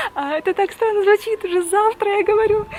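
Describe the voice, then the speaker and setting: A woman talks while noticeable background noise carries through the recording. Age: 20s. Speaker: travel vlogger. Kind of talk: vlog to camera.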